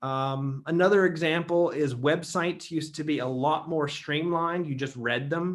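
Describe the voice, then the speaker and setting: A man with an American accent and a normal speaking voice, his intonation fairly even. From Ohio, USA. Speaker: theologian, institute founder. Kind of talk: lecture talk. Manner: casual, conversational.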